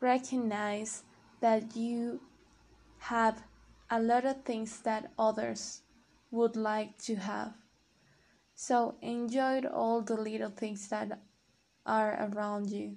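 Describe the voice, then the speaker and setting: Very slow and broken by long, frequent pauses, a woman's fairly high voice comes with a non-native accent and monotone, flat intonation. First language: not English. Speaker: podcaster practicing English. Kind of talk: casual monologue. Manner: halting.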